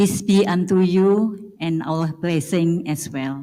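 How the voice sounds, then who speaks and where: In an Indonesian accent, a woman speaks at a very slow pace with a dark, mellow tone and ordinary pitch variation. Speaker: school supervisor. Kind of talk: formal speech. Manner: halting.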